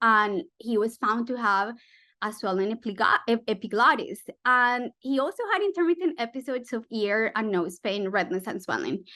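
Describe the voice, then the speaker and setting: Against a quiet background, a woman speaks loudly in a Spanish accent, her fairly high voice full of lively intonation. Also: moderate pace. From Colombia. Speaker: physician researcher. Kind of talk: medical webinar lecture.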